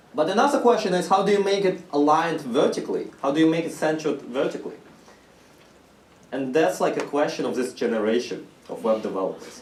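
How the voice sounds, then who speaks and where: Amid noticeable background noise and audible room echo, a man with a non-native accent speaks very fast in a fairly high voice with very wide pitch swings. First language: not English. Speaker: university course lecturer. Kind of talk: lecture. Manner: casual, with filler words.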